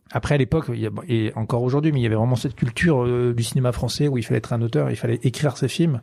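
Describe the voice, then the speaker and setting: A man speaks in a dark, mellow tone at a medium pitch with ordinary pitch variation. The recording is very clean, with a silent background. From western France, Poitou-Charentes (La Rochelle). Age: 40s. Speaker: film director. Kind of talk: interview. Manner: halting, many fillers.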